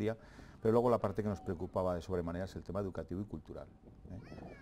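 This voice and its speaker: Very fast and very deep, a man's voice has a dark, mellow tone and fairly even intonation. Light background noise sits behind him. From Navarre, Spain (Fustiñana, Ribera). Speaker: president of a land-management community. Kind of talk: TV interview. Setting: TV studio. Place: studio. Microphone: lapel.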